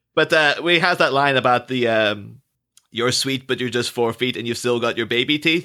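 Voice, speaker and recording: A man's medium-pitched voice with a bright, sharp tone, ordinary pitch variation and a moderate pace, on a very clean recording with a silent background. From Ireland. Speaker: podcast guest. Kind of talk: casual chat.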